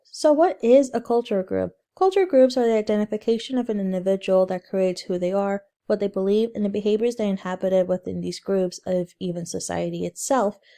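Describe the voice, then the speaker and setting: In a dark, mellow tone with ordinary pitch variation, the voice moves at a fairly quick pace, its sound dry and close with no echo on a very clean recording with a silent background. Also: woman, medium pitch for a woman. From Central Texas, Mexican-American. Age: 20s. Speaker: student. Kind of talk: class presentation. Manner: scripted, reading from slides.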